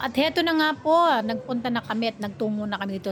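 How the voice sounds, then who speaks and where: A plain, everyday voice from a woman at a fairly quick pace. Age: 60s. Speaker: vlogger. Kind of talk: casual vlog narration. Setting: outdoors at a café. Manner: polite, uses 'po' often.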